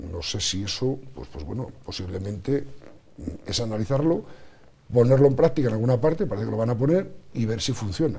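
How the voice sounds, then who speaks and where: A normal speaking voice at a fairly quick pace, with big swings in loudness and light background noise. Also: man. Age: 50s. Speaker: politician. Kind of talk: TV interview. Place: studio. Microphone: lapel.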